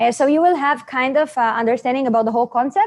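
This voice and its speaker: The speaker talks at a very fast pace in an Israeli accent. Their intonation is lively. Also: woman, quiet background. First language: Hebrew. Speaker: network marketing presenter. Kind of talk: seminar presentation. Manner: halting.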